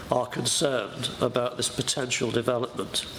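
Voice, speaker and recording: Noticeable background noise sits behind a man who talks at a moderate speed. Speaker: visiting councillor. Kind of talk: public speech at council meeting. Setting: council committee meeting.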